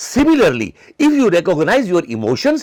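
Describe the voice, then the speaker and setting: A man speaks with an Indian accent. His pitch swings very wide. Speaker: psychology lecturer. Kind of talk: lecture. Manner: halting.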